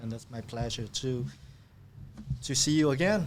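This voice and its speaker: A man with a Vietnamese accent speaks at a medium pitch. His pace is moderate. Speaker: refugee turned businessman. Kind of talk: podcast interview. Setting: studio. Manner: halting with fillers.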